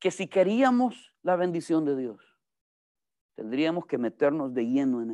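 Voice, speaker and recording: Over a quiet background, a man with a fairly high, dark, mellow voice talks at a fairly slow pace, his pitch swinging very widely. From El Salvador. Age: 40s. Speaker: pastor. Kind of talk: sermon. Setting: church. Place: classroom. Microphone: video call.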